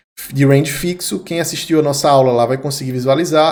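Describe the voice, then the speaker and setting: A man talks in a northeastern Brazilian accent. His pitch is fairly high, with ordinary variation. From Brazilian Northeast. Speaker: crypto trading analyst. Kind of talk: market analysis video. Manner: casual, conversational.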